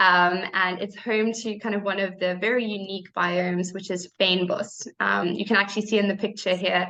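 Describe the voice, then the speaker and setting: The woman has a South African accent. Her intonation is flat and monotone. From South Africa, Cape Town. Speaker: program staff presenter. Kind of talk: presentation. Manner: hesitant, many fillers.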